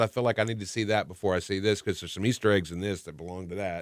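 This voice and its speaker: A man with a Texan accent at a very fast pace, in a bright, sharp tone on a very clean recording with a silent background. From Texas. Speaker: podcast co-host, radio host. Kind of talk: casual chat.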